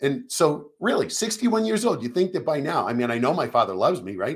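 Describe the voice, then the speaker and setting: Vocal fry marks this man's voice, which moves through very wide pitch swings. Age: 60s. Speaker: nurse and podcast host. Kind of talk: casual live stream monologue. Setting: live stream. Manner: animated.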